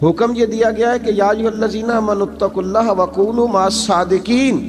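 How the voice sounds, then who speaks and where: A man is speaking. Music plays behind him. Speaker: Islamic scholar / preacher. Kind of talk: Islamic sermon (bayan) with storytelling. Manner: emotive, preaching, conversational.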